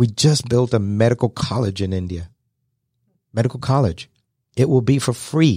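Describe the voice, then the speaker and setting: A man's somewhat breathy, dark, mellow voice at medium pitch, ordinary pitch variation, moderate pace with long, frequent pauses, in a very clean recording with a silent background. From London, England. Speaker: entrepreneur and nonprofit leader. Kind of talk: radio interview. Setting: studio.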